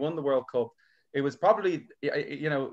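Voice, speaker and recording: In an Irish accent, a man talks at a fairly quick pace. His pitch is fairly high, with ordinary variation. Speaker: comedian. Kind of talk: casual chat.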